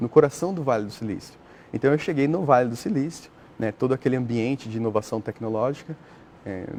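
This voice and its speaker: A man's medium-pitched voice races at a very fast pace, its pitch varying in an ordinary way. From Brazil, São Paulo state. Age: 30s. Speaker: astrobiologist, NASA researcher. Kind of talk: TV interview. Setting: TV studio. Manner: hesitant, filler-heavy (né).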